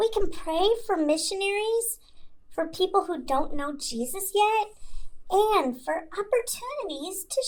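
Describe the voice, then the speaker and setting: In a put-on character voice with a warm tone, the speaker talks at a fairly slow pace. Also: woman. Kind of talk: children's ministry podcast talk. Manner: warm, encouraging.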